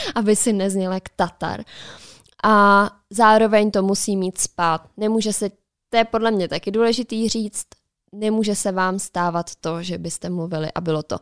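Recorded very cleanly against a silent background, a woman speaks at a medium pitch with a dry, close sound and no echo. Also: fairly even intonation, moderate pace. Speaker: podcast co-host. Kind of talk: casual chat. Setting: studio.

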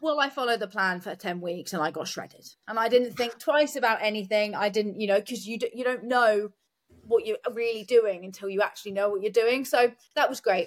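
A plain, everyday voice from a woman, fairly high-pitched with ordinary pitch variation, at a fairly quick pace. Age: 30s. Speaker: competitive bodybuilder. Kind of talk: casual chat. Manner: fast.

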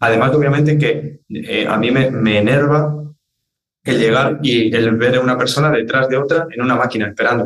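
A man speaks at a medium pitch with very even loudness. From Spain (Madrid area), born in Argentina. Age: 20s. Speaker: fitness trainer and content creator. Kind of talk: interview conversation.

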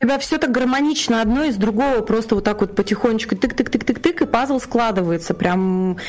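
Noticeable background noise sits under a woman whose fairly high voice shows ordinary pitch variation. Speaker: podcast co-host. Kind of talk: casual interview. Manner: emotional, animated.

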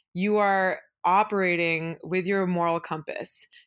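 A woman talks in a Pacific Northwest accent. The recording is very clean, with a silent background. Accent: American (Pacific Northwest). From Oregon, Beaverton (Portland suburb), born in India. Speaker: venture capital investor. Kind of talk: interview.

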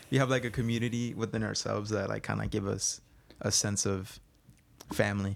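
A man with a fairly low voice and vocal fry speaks at a fairly quick pace but with long, frequent pauses and fairly even intonation, in a very clean recording with a silent background. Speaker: college wrestler and high school wrestling coach. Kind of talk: casual chat.

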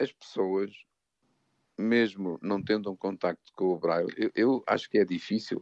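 Recorded dry and close with no echo, a man with a normal speaking voice talks at a fairly slow pace, fairly low in pitch, with fairly even intonation and very even loudness. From northern Portugal, Douro region. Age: 60s. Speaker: psychologist. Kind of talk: radio interview.

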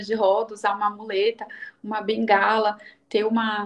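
Her voice sits fairly high as this woman talks at a moderate speed. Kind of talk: interview. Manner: hesitant, many filler sounds.

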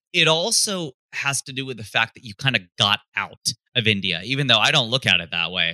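Speaking with an American accent, a man has a bright, sharp tone and a moderate pace. His pitch swings very widely, with big swings in loudness too. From US Midwest, Cincinnati, Ohio. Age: 40s. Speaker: stand-up comedian. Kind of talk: casual interview.

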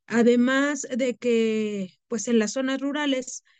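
A woman speaks in an unremarkable speaking voice, fairly high in pitch with fairly even intonation and a dry, close sound with no echo. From Mexico City, family from the Huasteca of Hidalgo. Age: 30s. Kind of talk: interview.

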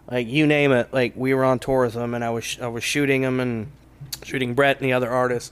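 This is a normal speaking voice from a man with an American accent. He moves at a fairly quick pace with fairly even intonation. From East Texas (Kilgore). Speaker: comedy club owner, former country singer. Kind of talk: casual interview.

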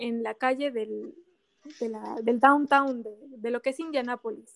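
A woman talks at a high pitch and a fairly slow pace, her intonation fairly even. The sound is dry and close, with no echo. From Mexico and Japan. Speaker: motorsport fan. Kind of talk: casual chat.

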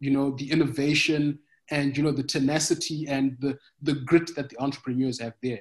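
A man's somewhat breathy voice sits at a fairly high pitch with monotone, flat intonation. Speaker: agritech startup founder. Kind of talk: podcast interview.

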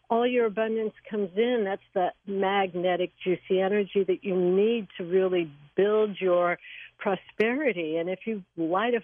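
A woman has a plain, everyday voice at medium pitch. She talks at a fairly slow pace with ordinary pitch variation. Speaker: Vastu practitioner and author. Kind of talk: radio interview, explanatory talk.

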